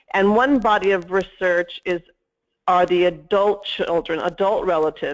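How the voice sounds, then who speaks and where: A woman speaks in a shaky, fairly low voice with fairly even intonation. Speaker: mental health services researcher. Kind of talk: webinar presentation. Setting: webinar.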